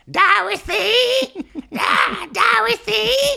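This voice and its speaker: A put-on character voice pitched fairly high. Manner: squawky, cartoonish.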